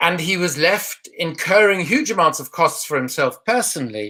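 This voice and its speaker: A man speaks in a South African accent. His pitch swings very widely. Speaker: anti-corruption campaigner, former politician. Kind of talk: online panel discussion.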